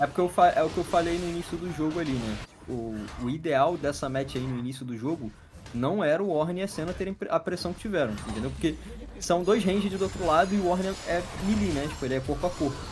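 Words come out at a very fast pace. Noticeable background noise is present throughout. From Brazil. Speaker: esports co-caster. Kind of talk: live commentary. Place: home room.

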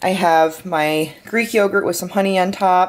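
A woman talks at a fairly slow pace. She speaks with an American accent. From Michigan, Detroit area. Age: 20s. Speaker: vlogger. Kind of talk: casual vlog narration.

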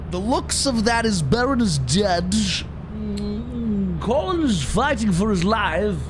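A man at a very slow pace with hardly any pauses and very even loudness, over noticeable background noise. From Canada. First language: Italian. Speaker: streamer. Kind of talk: casual chat. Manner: mock-narration commentary. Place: home room. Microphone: headset.

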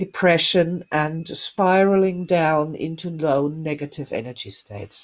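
A woman with a fairly low pitch speaks over a quiet background. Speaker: energy healing teacher. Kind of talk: guided meditation. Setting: live online broadcast to viewers. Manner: soft, gentle, soothing and slow-paced; warm, loving, reassuring. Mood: warm, gentle, soothing. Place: home room. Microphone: webcam.

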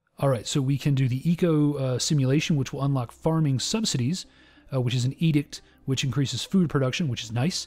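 A man with a fairly high pitch talks at a fairly quick pace in a somewhat breathy voice. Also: ordinary pitch variation. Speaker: gaming youtuber. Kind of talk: let's play commentary. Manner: casual, with frequent filler words.

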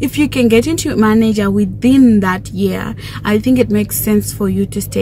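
An animated woman's voice at a moderate pace, with a dry sound with no echo and light background noise. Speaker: YouTuber, chartered accountant. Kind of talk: casual vlog chat. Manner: chatty, animated. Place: car. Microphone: phone near.

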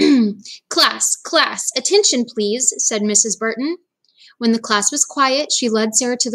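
An unforced reading voice, set in a quiet background, shows ordinary pitch variation.

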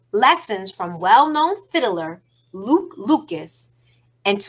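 The voice sounds natural. It is reading aloud.

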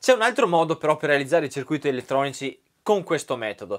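Against a quiet background, a man speaks at a fairly high pitch. His pace is fairly quick and his intonation lively. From Italy. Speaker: YouTube maker and tutorial host; tutorial host. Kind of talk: tutorial. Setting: garage workshop. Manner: animated. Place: workshop.

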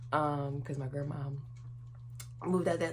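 A woman speaks in a very deep, low, somewhat breathy voice with fairly even intonation over light background noise. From North Carolina, US. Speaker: YouTuber. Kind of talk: casual vlog to camera. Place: home room. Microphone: phone near.

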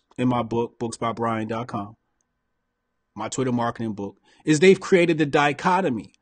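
The background is quiet while a man delivers his words at a moderate pace. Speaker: commentator. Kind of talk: casual commentary. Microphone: studio mic.

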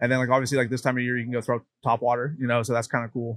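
Against a quiet background, a man speaks with an American accent. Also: dry sound with no echo. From central Pennsylvania. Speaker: angler; podcast guest. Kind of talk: casual interview. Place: hall. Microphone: studio mic.

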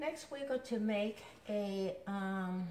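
A woman's somewhat breathy, very slow speech, with audible room echo and light background noise. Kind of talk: tutorial. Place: kitchen. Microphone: camera far.

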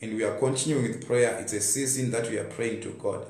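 At a very fast pace and with fairly even intonation, the voice carries audible room echo. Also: man. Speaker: preacher. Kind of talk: sermon. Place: home room. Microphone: phone near.

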